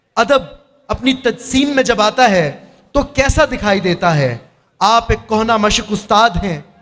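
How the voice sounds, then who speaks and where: His intonation is lively. The man's voice sits high in pitch. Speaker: mushaira host. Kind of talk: stage introduction and audience praise.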